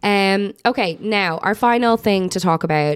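Here a woman speaks in an Irish accent. Her intonation is lively. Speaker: podcast host. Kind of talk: casual chat.

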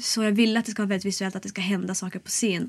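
A woman talks at medium pitch with monotone, flat intonation. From Sollefteå, Västernorrland, northern Sweden. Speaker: singer-songwriter and cabaret artist. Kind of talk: casual interview. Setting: studio.

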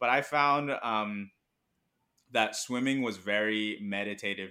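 A man's fairly low voice comes across bright and sharp with fairly even intonation, in a very clean recording with a silent background. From Hong Kong. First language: Mandarin. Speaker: business school student and part-time comedian. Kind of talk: casual chat.

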